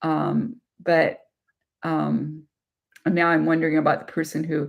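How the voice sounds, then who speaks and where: This woman speaks at a moderate pace. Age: 60s. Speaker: abuse survivor and channel host. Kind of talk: live-stream Q&A discussion. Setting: YouTube live stream. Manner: halting, many fillers.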